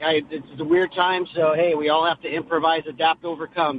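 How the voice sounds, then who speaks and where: A man's fairly high voice at a fairly quick pace, a plain, everyday voice. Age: 50s. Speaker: high school teacher and coach. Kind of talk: casual chat. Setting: phone call.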